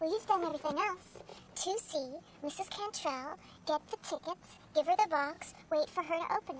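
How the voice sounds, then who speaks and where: A squeaky, put-on character voice moves at a moderate pace over clear background noise. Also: woman, extremely high pitch for a woman. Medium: short film.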